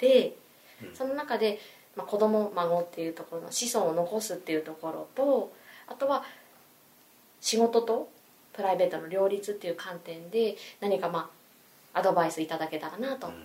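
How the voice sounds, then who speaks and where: A woman at medium pitch and moderate pace, lively in intonation, with big swings in loudness and long, frequent pauses. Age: 30s. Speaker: salesperson. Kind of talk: casual chat.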